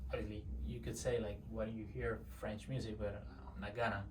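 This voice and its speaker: This man's voice is fairly low, with vocal fry. His pitch swings very widely. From Mexico. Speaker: service delivery manager. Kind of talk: interview answer.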